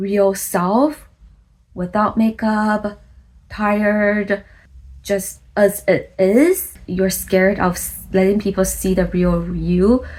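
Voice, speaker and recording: Very slowly, a woman with a non-native accent speaks in a medium pitch, her voice somewhat breathy. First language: not English. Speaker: content creator, vlogger. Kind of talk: vlog monologue. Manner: casual, conversational.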